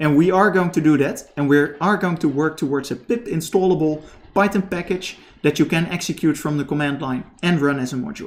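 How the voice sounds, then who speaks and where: Speaking at a fairly quick pace, a man has a fairly high pitch. His pitch variation is ordinary. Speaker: programming teacher. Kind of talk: live stream tutorial. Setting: live stream. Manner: halting.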